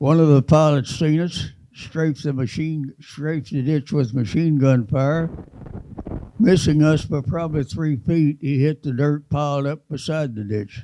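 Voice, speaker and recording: A man's fairly high-pitched voice with a Texan accent, dark, mellow tone, fairly slow pace and ordinary pitch variation. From Texas. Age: 80s+. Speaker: war veteran. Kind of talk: testimony.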